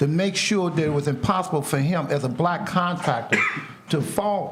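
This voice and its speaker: Over noticeable background noise, a man speaks at a high pitch. His pitch varies in an ordinary way. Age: 60s. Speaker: painter. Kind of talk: interview. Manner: animated.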